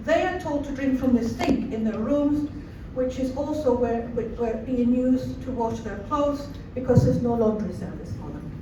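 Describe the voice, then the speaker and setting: A woman with a Scottish accent, high in pitch with ordinary pitch variation, at a moderate pace, with audible room echo and noticeable background noise. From Scotland, Cowdenbeath (Fife) after early childhood in Chile. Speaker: refugee support worker. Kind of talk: rally speech.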